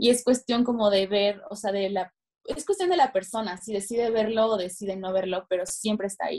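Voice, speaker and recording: Ordinary pitch variation at a fairly quick pace. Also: woman, medium pitch for a woman. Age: 20s. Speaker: fashion journalist. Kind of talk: interview.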